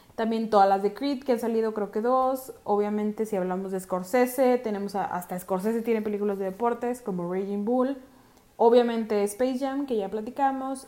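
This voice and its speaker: The woman has a dark, mellow tone. She keeps a moderate pace with fairly even intonation. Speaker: podcast host. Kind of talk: casual chat. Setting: remote recording from home.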